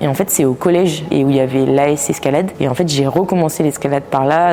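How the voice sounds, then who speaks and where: Over noticeable background noise, a woman with a very deep, low voice talks at a fairly quick pace with fairly even intonation. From Brittany, France (Finistère). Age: 20s. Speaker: physiotherapist and pro climber. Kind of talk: interview. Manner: hesitant, many filler sounds.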